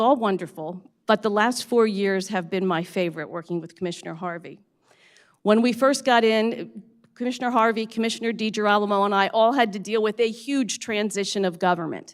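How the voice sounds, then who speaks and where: A woman's plain, everyday voice with an American accent, fairly high pitch, ordinary pitch variation and a fairly quick pace, in a very clean recording with a silent background. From Pennsylvania, Bucks County. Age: 60s. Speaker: county commissioner. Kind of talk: inauguration speech.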